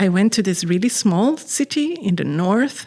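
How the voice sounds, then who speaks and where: A woman with a Swedish accent speaks at a moderate pace. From Sweden, Stockholm. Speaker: artist. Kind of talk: interview.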